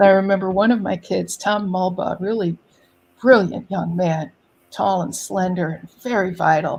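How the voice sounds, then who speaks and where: A woman talks in an unremarkable speaking voice at medium pitch. Her pace is moderate. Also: fairly even intonation. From New York City. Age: 60s. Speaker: poet laureate and artist. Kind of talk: interview.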